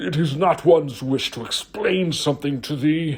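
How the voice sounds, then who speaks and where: A man does a put-on character voice at a fairly high pitch. He uses ordinary pitch variation and a moderate pace. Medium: read story. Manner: stilted, formal.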